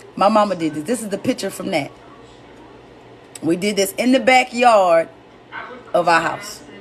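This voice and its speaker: A woman at medium pitch speaks with long, frequent pauses over noticeable background noise. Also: ordinary pitch variation, moderate pace. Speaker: comedian and live-stream host. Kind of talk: casual live-stream talk about grief. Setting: live stream. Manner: loud.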